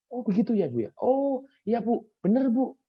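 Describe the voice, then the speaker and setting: A man with an extremely high pitch and a Javanese accent. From Java, Indonesia. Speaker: soft skills coach. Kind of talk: online training talk. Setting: video call. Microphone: echo when others unmute.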